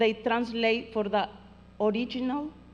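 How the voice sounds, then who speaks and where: A woman speaks in a Spanish accent with monotone, flat intonation. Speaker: Spanish teacher. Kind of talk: award ceremony speech. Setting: school award ceremony. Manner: halting.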